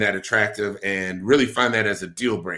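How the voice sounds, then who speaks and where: A man with an American accent, a bright, sharp tone and fairly even intonation, on a very clean recording with a silent background. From Milwaukee, Wisconsin. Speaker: podcast host. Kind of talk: casual chat. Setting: live stream.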